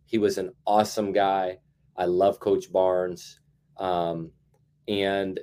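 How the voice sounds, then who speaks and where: On a very clean recording with a silent background, a man with an American accent speaks at a fairly low pitch in a dark, mellow tone. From Indiana (Carmel, near Indianapolis). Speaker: college basketball assistant coach. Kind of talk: casual interview.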